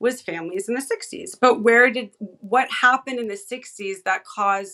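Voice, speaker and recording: With hardly any pauses, a woman talks at a moderate pace in a high, bright, sharp, animated voice, her intonation lively and her loudness swinging widely. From California, San Fernando Valley. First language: Hebrew. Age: 40s. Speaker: independent researcher and content creator. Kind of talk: podcast interview conversation.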